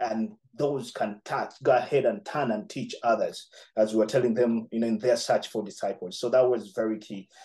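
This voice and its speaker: With a dark, mellow tone, a man speaks at a moderate pace. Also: ordinary pitch variation, quiet background. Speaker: pastor trainer reporting. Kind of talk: interview answer. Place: home room. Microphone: video call.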